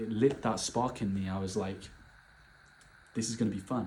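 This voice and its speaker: A man speaks with a British accent at a fairly quick pace. His voice is somewhat breathy. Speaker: vlogger. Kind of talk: casual monologue. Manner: animated.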